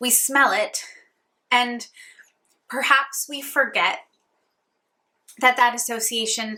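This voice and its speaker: A woman speaks at a fairly slow pace. Her fairly high pitch has ordinary variation. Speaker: beauty vlogger. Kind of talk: casual chat.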